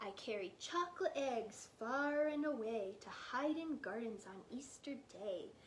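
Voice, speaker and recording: In a squeaky, high, put-on character voice, a woman goes at a fairly slow pace with very wide pitch swings, big swings in loudness and hardly any pauses over light background noise. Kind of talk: bedtime story. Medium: read story. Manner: playful, teasing.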